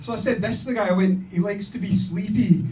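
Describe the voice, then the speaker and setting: With noticeable background noise and audible room echo, a man speaks fairly quickly in a Scottish accent. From Scotland, Glasgow. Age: 30s. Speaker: stand-up comedian. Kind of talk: stand-up. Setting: stage with audience.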